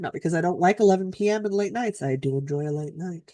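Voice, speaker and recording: With a Canadian accent, a woman speaks in a normal speaking voice, fairly low in pitch and lively in intonation, recorded dry and close with no echo against a quiet background. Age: 40s. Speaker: co-host of a knitting live stream. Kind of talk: casual chat. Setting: live stream.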